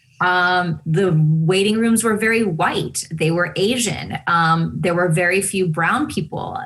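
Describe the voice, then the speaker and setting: Speaking in a Spanish accent, a woman has a fairly low pitch and ordinary pitch variation. Her pace is fairly slow, with hardly any pauses and very even loudness. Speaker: television host. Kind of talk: interview conversation.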